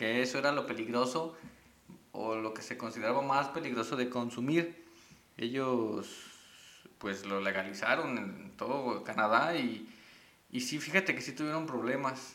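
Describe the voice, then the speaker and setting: A man with a Mexican accent and medium pitch talks at a fairly slow pace with long, frequent pauses and ordinary pitch variation, amid noticeable background noise and audible room echo. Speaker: podcast co-host. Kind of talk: casual chat.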